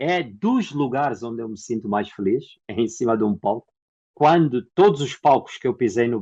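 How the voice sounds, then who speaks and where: A man's medium-pitched voice in a dark, mellow tone, with ordinary pitch variation and a moderate pace. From Angola. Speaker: actor and theatre producer. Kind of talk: interview.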